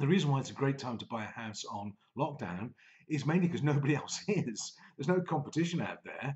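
A somewhat breathy man at a moderate pace against a quiet background. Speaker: business coach vlogger. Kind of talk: casual vlog chat. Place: home room. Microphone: webcam.

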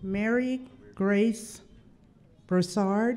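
A woman speaks at a very slow pace with a slightly mellow tone. Her pitch variation is ordinary. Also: medium pitch for a woman.

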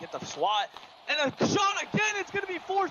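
The speaker is a man. Noticeable background noise runs through the clip. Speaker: sports commentator. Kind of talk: live play-by-play commentary, casual and reactive. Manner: excitable, exclaiming.

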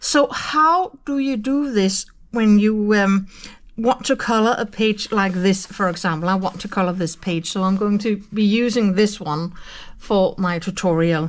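A woman with a Danish accent speaks at a fairly slow pace with ordinary pitch variation. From Denmark. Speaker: colouring youtuber. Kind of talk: tutorial. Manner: hesitant with fillers. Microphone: phone near.

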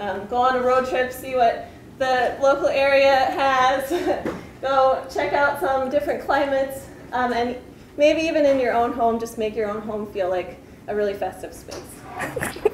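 A woman's high voice at a fairly slow pace with ordinary pitch variation, audible room echo and light background noise. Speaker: grad student friend. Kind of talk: humorous introduction. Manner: animated, laughing. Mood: light, playful. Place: hall. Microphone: camera far.

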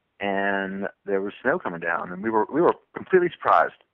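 At a moderate pace, a man with an American accent and an unremarkable speaking voice talks at a fairly low pitch. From US South, southwestern Virginia. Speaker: thru-hiker. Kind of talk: interview.

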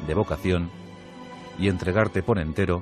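A man with a very deep, low pitch speaks at a moderate pace with fairly even intonation, music playing in the background. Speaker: radio host and narrator. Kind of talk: radio history narration.

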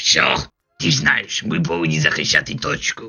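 Putting on a raspy character voice, a man talks at a moderate pace with a medium pitch. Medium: fan dub. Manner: smooth, self-satisfied.

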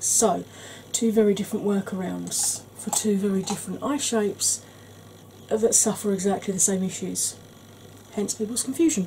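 A woman with an English accent speaks at a moderate pace and medium pitch, with ordinary pitch variation. Long, frequent pauses break up her speech over noticeable background noise. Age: 40s. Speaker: beauty YouTuber. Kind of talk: tutorial. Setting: home.

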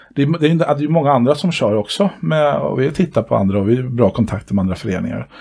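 Speaking at a very fast pace with hardly any pauses, a man uses a fairly high pitch with very wide swings, and his tone is dark, mellow and somewhat breathy. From Sweden. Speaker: dance club board member and dance instructor; dance instructor. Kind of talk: casual interview chat. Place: home room. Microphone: headset.

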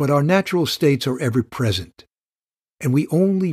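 The background is quiet. A man speaks at a moderate pace with a somewhat breathy voice. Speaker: meditation guide. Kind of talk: guided meditation teaching. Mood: calm, warm. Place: studio.

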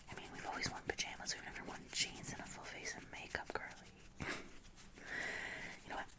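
At a moderate pace, a woman whispers. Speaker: ASMR artist. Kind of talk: ASMR roleplay as a friend, personal attention. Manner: whispered, soft, friendly. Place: home room. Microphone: earbuds.

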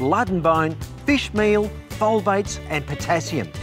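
The speech moves at a moderate pace, with clear music in the background. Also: man. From Australia. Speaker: TV gardening presenter and horticulturist. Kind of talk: product demonstration narration to camera.

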